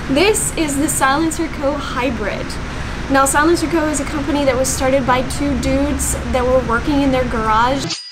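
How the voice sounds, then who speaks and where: A woman speaks at moderate speed, her pitch varying in an ordinary way, while noticeable noise sits in the background. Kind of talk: product review explanation. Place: shop.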